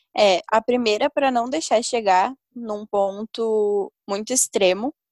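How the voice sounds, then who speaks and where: Recorded very cleanly against a silent background, a woman's voice sounds dry and close with no echo. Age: 20s. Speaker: university student. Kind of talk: casual chat.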